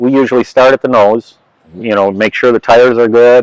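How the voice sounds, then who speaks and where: A man's medium-pitched voice, an unremarkable speaking voice, at a moderate pace with fairly even intonation and a dry, close sound with no echo. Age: 60s. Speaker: flight engineer and aircraft mechanic. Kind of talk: casual interview and walkaround explanation.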